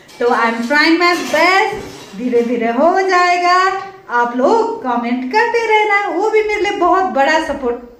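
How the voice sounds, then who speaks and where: Amid noticeable background noise and audible room echo, a woman speaks at an extremely high pitch with very wide pitch swings. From Nepal. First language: Nepali (speaking Hindi). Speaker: vlogger. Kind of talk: casual vlog chat. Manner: expressive.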